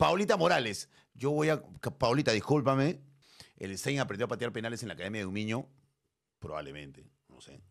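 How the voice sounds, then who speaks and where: An animated tone with vocal fry, very wide pitch swings, big swings in loudness and long, frequent pauses over a quiet background. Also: man, medium pitch for a man, fairly quick pace. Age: 50s. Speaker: streamer. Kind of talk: casual chat. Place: studio. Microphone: studio mic.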